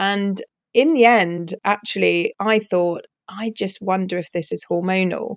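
With a British accent, this woman speaks at a medium pitch and with fairly even intonation, in a dry, close sound with no echo. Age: 50s. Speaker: leadership coach and therapist. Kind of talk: casual interview.

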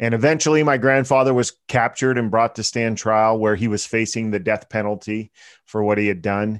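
With a Pennsylvania accent, a man at a medium pitch talks at a fairly quick pace and with fairly even intonation against a quiet background. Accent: American, Pennsylvania. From central Pennsylvania. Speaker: author and entrepreneur. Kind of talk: interview.

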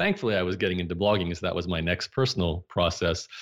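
A man with an Australian accent and a very deep, low pitch, on a very clean recording with a silent background. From Australia, Brisbane. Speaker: entrepreneur. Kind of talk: interview.

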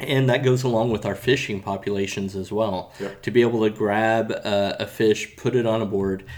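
On a very clean recording with a silent background, a man with an American accent talks at a moderate pace in a fairly low voice, his intonation fairly even, an unremarkable speaking voice. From Florida. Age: 30s. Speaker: kayak and paddle sports sales rep. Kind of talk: casual interview chat. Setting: trade event.

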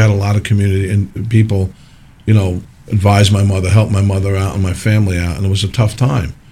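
At a very fast pace, a man speaks in a fairly low, somewhat breathy voice with a dark, mellow tone. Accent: New Jersey. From New Jersey (Parsippany). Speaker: mayor. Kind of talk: radio interview.

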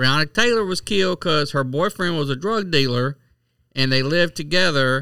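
Bright and sharp in tone, a man's fairly high voice carries lively intonation at a moderate pace on a very clean recording with a silent background. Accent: Southern US. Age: 40s. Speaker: podcast co-host. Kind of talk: casual chat.

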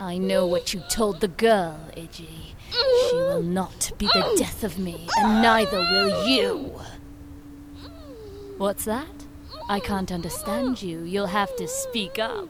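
Loud background noise runs behind a woman speaking at medium pitch. She talks at a fairly slow pace with long, frequent pauses. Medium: audio drama. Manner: gloating, menacing, sadistic.

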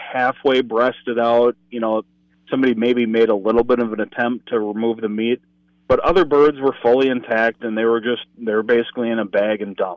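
A man speaks with a Minnesota accent. His pitch is medium. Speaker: state conservation enforcement communications officer and author. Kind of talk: casual chat.

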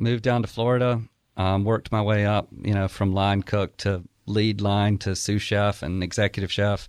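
A man with an Alabama accent speaks at a moderate pace in a fairly low, monotone, flat voice, with very even loudness against a quiet background. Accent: Southern US (Alabama). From Alabama, small town. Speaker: chef and restaurant owner. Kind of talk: casual interview chat.

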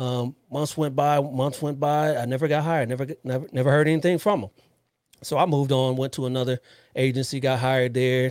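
In a normal speaking voice with an American accent, a man talks at a fairly quick pace and medium pitch with fairly even intonation. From US West Coast, Los Angeles area. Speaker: police officer and podcast host. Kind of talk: casual interview chat.

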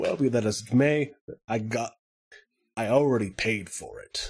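Using a raspy, put-on character voice at a medium pitch, a man speaks at a fairly slow pace. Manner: breezy, grandiose, reassuring.

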